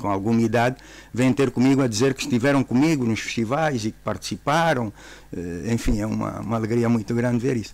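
The speaker has a normal speaking voice with fairly even intonation and a fairly quick pace. The sound is dry with no echo. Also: man. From Angola. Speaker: government minister. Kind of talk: radio interview. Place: studio. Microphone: studio mic.

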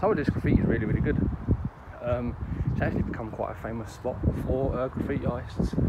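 A man talks very fast while loud background noise fills the clip. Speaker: urban explorer vlogger. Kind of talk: casual vlog chat. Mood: curious, slightly startled. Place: open country. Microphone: phone near.

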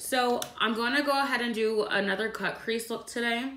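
The speech unfolds fairly slowly, and audible room echo hangs around it. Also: woman. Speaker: beauty vlogger. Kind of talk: tutorial.

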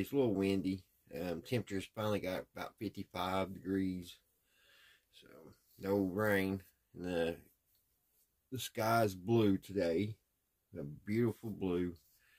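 Against a quiet background, a man speaks at a very deep, low pitch, fairly slowly and with fairly even intonation, leaving long, frequent pauses. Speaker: hobbyist radio restorer. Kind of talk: casual vlog chat. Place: workshop. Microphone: phone near.

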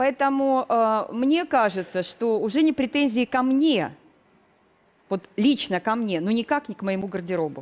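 A woman talks at a fairly slow pace with lively intonation and a fairly high pitch. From southern Russia, Krasnodar region; Russia. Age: 50s. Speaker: retired educator, makeover participant; retired educator. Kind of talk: TV talk show testimony. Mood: defensive, explaining. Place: studio. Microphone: headset.

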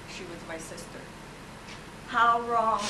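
A woman with an American accent at a fairly slow pace, over noticeable background noise. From Indiana. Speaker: Women's Army Corps veteran. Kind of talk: talk about wartime memories. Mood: reflective, heartfelt. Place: hall. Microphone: old recording.

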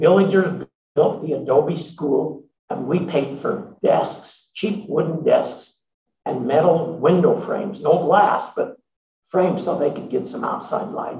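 Pitched high for a man, his voice has a dark, mellow tone and ordinary pitch variation. He speaks at a fairly slow pace, with audible room echo. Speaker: emeritus professor and social entrepreneur; speaker. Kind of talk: interview answers at a symposium. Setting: stage with audience. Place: meeting room.

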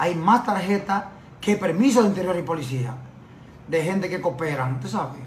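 Speaking at a moderate pace with lively intonation, a man with a high voice is heard in a room with audible echo and light background noise. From Dominican Republic. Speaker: journalist and lawyer; journalist, lawyer. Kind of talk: TV interview. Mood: defensive, indignant rebuttal. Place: office. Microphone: phone near.

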